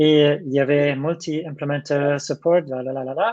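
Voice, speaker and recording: With a German accent, a man speaks at a fairly high pitch. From Germany. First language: German (speaking French). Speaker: software developer advocate. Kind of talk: Q&A session in a tech talk. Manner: halting, many hesitations.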